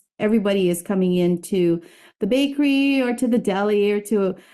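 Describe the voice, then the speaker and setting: Against a quiet background, a woman speaks with lively intonation and a dark, mellow tone. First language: not English. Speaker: bakery owner and podcast host. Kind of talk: webinar presentation.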